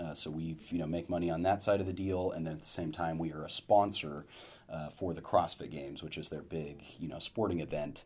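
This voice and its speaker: A man talks at a fairly quick pace with a very deep, low pitch. His intonation is fairly even. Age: 30s. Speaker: startup founder and CEO. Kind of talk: interview.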